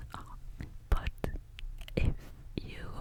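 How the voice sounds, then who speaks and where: Someone whispers throughout. There's noticeable noise in the background. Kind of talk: ASMR perfume review, casual talk to camera. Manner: soft, quiet ASMR delivery.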